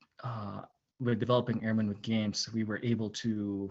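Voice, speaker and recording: A man speaks with a non-native accent. His voice is fairly low. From immigrant to the US, non-US upbringing. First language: not English. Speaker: airman. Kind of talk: personal introduction at virtual panel. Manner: halting, many fillers.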